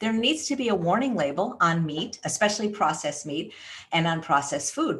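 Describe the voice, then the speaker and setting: Noticeable background noise sits behind this woman, whose pitch swings very widely as she talks at a fairly quick pace. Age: 60s. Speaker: plant-based chef and author. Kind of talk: interview.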